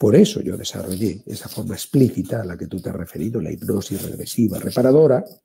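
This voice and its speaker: A man with a Spanish accent at a very fast pace, hardly any pauses, big swings in loudness, a dark, mellow tone and a somewhat breathy sound. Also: medium pitch for a man, lively intonation. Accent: Spanish (Spain). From Spain. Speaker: therapist and author. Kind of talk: interview.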